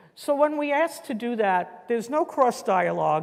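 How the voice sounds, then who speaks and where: Lively intonation marks this woman's speech, delivered with a New York accent. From New York City. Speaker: educator leading a workshop. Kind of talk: guided group activity instructions. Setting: conference room with live audience.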